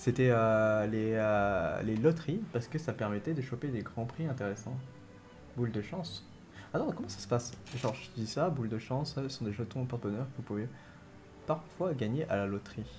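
Music plays in the background as a man talks at medium pitch. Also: ordinary pitch variation, moderate pace. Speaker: gaming streamer. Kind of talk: live gameplay commentary.

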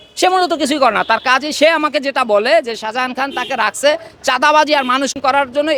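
A man with an extremely high, raised and projected voice speaks in an animated tone with ordinary pitch variation, the sound dry and close with no echo despite noticeable background noise. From Bangladesh, Madaripur. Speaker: protester, son of a freedom fighter. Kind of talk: street interview, protest testimony. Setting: outdoors on the street.

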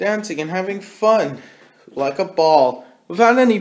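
The speaker is reading aloud in a natural voice.

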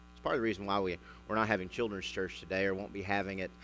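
Light background noise sits behind a man with a plain, everyday voice, fairly low in pitch, his intonation fairly even. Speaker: pastor. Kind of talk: sermon. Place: church.

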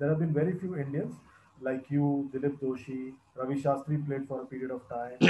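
Somewhat breathy and fairly quick, a man speaks at a fairly high pitch in a dark, mellow tone, with audible room echo and light background noise. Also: fairly even intonation. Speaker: cricket interviewer. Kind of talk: interview. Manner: formal. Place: home room. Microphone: earbuds.

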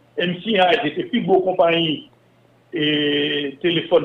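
At a fairly slow pace and with ordinary pitch variation, the speaker talks in a Haitian accent. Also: man. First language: Haitian Creole (speaking French). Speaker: former telecom and bank executive. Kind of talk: interview.

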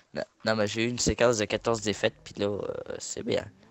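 A man speaks at a fairly quick pace. His pitch sits fairly low and barely moves.

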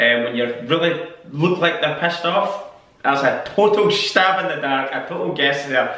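A man speaks with a Scottish accent at a moderate pace. His pitch varies in an ordinary way, and audible room echo can be heard. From Scotland. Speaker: YouTuber. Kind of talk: casual talk to camera. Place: home room. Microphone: camera far.

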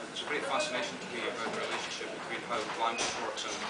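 Loud background noise fills the clip. A man talks over it at a very fast pace. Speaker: poet and literature professor. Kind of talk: interview answer. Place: hall.

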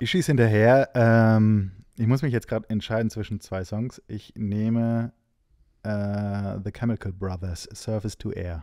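A man's fairly low, dark and mellow voice, fairly even in intonation and fairly slow, in a very clean recording with a silent background. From Hesse, Giessen. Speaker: music booking agent. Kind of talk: casual chat.

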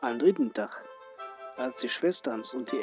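The speaker has a Ruhr accent and talks at a very slow pace. Music plays in the background. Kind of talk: fairy tale reading.

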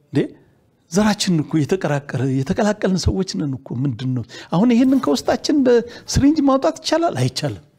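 A man's dark, mellow tone at a high pitch, with very wide pitch swings and big swings in loudness. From Ethiopia. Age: 70s. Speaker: retired army general; guest. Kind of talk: TV interview. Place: studio. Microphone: lapel.

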